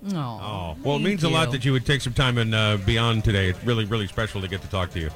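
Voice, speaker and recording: Over music in the background, a man with a New England accent speaks very fast at a medium pitch with lively intonation. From Rhode Island. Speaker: morning radio show host. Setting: live remote broadcast from a bar. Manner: enthusiastic, upbeat.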